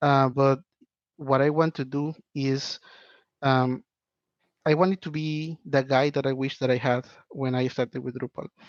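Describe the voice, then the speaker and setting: Someone with a Spanish accent speaks at a moderate pace in a monotone, flat way, with long, frequent pauses, recorded dry and close with no echo against a quiet background. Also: man, fairly high pitch for a man. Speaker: web developer and online instructor. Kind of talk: podcast interview.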